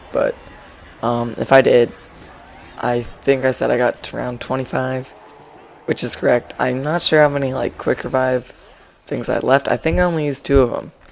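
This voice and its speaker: A man with a medium pitch speaks at a moderate pace with fairly even intonation and long, frequent pauses amid noticeable background noise. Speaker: gaming commentator. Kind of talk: gameplay commentary. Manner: monotone; halting.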